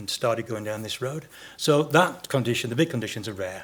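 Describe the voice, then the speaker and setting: A man with a medium-pitched voice talks at a fairly quick pace, his pitch varying in an ordinary way. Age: 60s. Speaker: podiatrist. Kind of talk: conference Q&A. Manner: halting, many repetitions.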